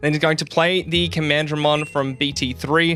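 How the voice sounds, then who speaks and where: Music plays in the background. A man speaks over it at a fairly quick pace. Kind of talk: card game match commentary.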